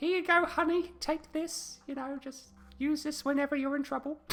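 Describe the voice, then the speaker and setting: Backed by clear music, a woman uses a high-pitched, put-on character voice at a moderate pace. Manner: warm, caring.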